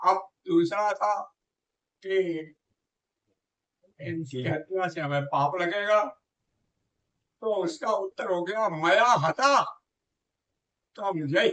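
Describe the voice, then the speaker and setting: A man is speaking in a high voice. His tone is bright and sharp. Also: lively intonation. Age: 80s+. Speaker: scholar of scriptures and Sanskrit. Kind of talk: religious teaching in conversation.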